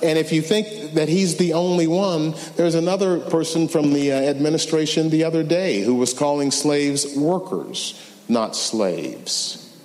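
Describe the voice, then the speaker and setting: Over noticeable background noise, a man speaks in a fairly high pitch, and room echo can be heard. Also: ordinary pitch variation, moderate pace, very even loudness. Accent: American. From US South, Memphis, Tennessee. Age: 60s. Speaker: civil rights lawyer. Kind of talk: lecture.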